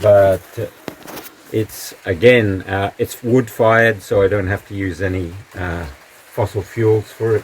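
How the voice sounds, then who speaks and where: Over noticeable background noise, a man with a fairly low voice speaks at a fairly slow pace with fairly even intonation. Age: 70s. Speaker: potter and community member giving a home tour. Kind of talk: casual home tour. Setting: at home and in garden. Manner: halting, with many fillers.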